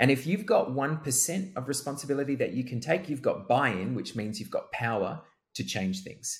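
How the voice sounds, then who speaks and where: On a very clean recording with a silent background, a man talks at a moderate pace in a somewhat breathy voice with very wide pitch swings. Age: 30s. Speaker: co-host and coach. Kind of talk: casual chat.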